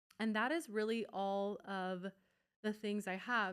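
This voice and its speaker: This is a woman with a medium pitch. Her intonation is fairly even. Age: 20s. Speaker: podcast host and nutrition coach. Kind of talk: casual solo podcast talk. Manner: casual, conversational with fillers; occasional stumbles over words.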